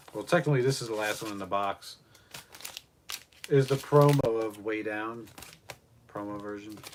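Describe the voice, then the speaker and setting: A fairly low-pitched man at a moderate pace, ordinary pitch variation, big swings in loudness, long, frequent pauses and noticeable background noise. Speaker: live streamer and record collector. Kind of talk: casual livestream chat.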